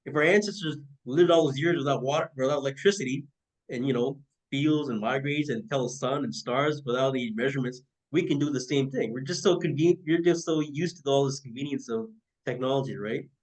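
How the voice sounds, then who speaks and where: Speaking very fast, a man uses a fairly high voice with ordinary pitch variation. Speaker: podcast host. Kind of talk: casual interview chat. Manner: halting, many fillers.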